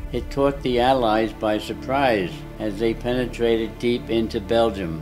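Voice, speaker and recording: With music in the background, a man speaks with an American accent. His medium-pitched voice moves at a fairly slow pace with ordinary pitch variation. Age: 80s+. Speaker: war veteran. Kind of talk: personal memoir narration.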